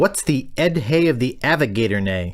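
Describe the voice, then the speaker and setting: Low-to-middle pitch carries this voice. It is a put-on character voice. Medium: video game. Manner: eager, glib.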